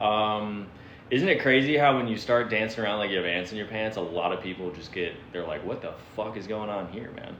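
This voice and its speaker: Noticeable background noise and audible room echo surround the speech. The pace is fairly quick, with ordinary pitch variation. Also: man, fairly low pitch for a man. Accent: American. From Florida. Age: 30s. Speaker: livestreamer. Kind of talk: casual chat. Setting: livestream. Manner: animated.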